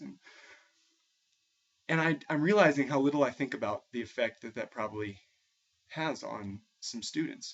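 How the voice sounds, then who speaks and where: Fairly high in pitch, a man with an American accent speaks at a fairly quick pace with lively intonation. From New England, suburban Massachusetts. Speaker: music teacher. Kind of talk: personal video blog monologue. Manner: halting, many repeated words.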